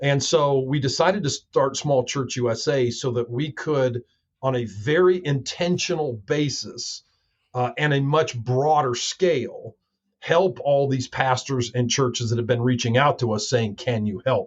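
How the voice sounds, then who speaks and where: This man speaks at a moderate pace in a medium pitch, with ordinary pitch variation. His voice is somewhat breathy. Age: 60s. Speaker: pastor. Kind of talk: podcast interview. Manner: many fillers.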